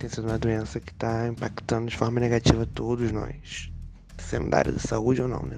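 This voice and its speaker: A man speaks in a normal speaking voice at medium pitch, with ordinary pitch variation. His pace is fairly quick and his loudness swings widely. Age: 20s. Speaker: nursing technician. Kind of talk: testimony.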